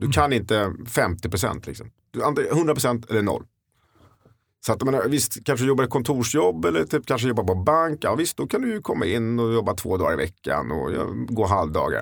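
On a very clean recording with a silent background, a man talks at medium pitch. His voice has vocal fry and very wide pitch swings. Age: 40s. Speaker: real estate agent. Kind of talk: casual chat.

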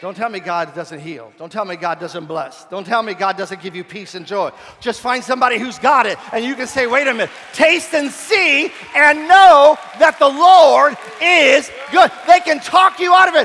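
Over noticeable background noise, a man with an extremely high pitch speaks in a raised, projected voice at a moderate pace, his tone animated and warm and his pitch swinging very widely. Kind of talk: sermon. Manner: animated, repetitive pulpit delivery with call-and-response; warm, conversational, mixing humor and altar-call urgency.

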